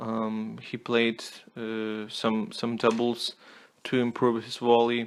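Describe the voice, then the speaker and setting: Here a man speaks at a medium pitch. His pace is very slow and his intonation is monotone and flat. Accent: non-native. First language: not English. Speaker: tennis commentator. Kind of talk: casual monologue review. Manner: halting, many fillers and repeats.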